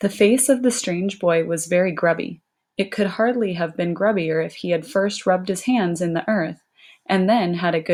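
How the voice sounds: Ordinary pitch variation runs through a natural reading voice. The background is quiet.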